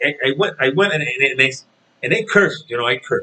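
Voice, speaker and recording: This man speaks with a Spanish accent. His pace is moderate. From Puerto Rico. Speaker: boxing commentator vlogger. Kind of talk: casual vlog rant. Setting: home. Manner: halting, many repetitions.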